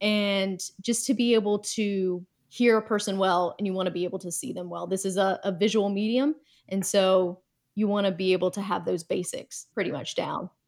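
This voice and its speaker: Here a woman talks at a moderate pace with an American accent. Her pitch is medium and her intonation fairly even. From US South. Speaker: communications director and former news reporter. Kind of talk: casual interview. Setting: video call.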